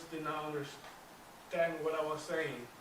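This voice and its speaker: Room echo can be heard here. The speaker is a man with an American accent. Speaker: public speaking club member. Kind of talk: prepared speech. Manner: halting, with repetitions.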